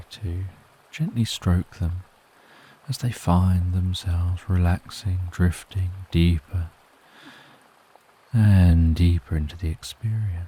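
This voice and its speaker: A soft-spoken man talks at a very deep, low pitch with fairly even intonation. He goes at a very slow pace with long, frequent pauses. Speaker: sleep story narrator. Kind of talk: sleep story. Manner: soft-spoken, slow.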